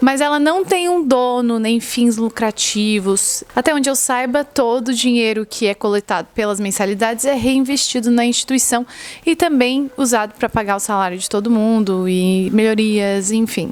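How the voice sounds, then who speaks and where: This is an ordinary speaking voice, a woman's, with fairly high pitch and ordinary pitch variation. She talks at a moderate pace with hardly any pauses. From southern Brazil, Florianópolis. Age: 20s. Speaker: medical student and vlogger. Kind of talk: casual vlog monologue. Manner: conversational.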